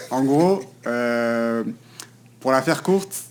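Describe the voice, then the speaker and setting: The speaker has a Paris suburban accent and lively intonation. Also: man. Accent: Parisian suburban French. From Paris region, France (Val-d'Oise / Hauts-de-Seine). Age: 20s. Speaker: content creator. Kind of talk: podcast interview. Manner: hesitant, many fillers.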